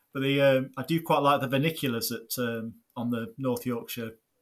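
In an East Midlands accent, a man speaks at medium pitch with fairly even intonation. The recording is very clean, with a silent background. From Nottinghamshire, England. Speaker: podcast co-host, gardener and YouTube maker. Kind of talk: casual chat.

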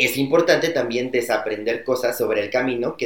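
A man talks in a normal speaking voice at medium pitch. His pace is moderate and his pitch variation ordinary. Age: 20s. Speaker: corporate customer experience employee. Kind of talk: casual chat.

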